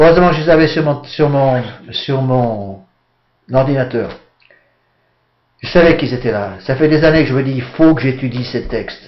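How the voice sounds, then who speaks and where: In a room with audible echo, a man at medium pitch talks at a moderate pace with ordinary pitch variation, stopping for long, frequent pauses. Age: 60s. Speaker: priest. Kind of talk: lecture.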